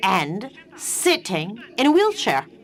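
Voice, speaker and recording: Against noticeable background noise, a woman speaks at a very slow pace and a medium pitch. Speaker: panel speaker, wheelchair user. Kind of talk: panel talk.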